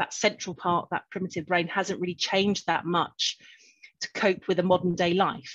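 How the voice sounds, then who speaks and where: A woman has a normal speaking voice. She talks at a fairly slow pace and medium pitch. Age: 50s. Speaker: clinical hypnotherapist. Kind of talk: interview.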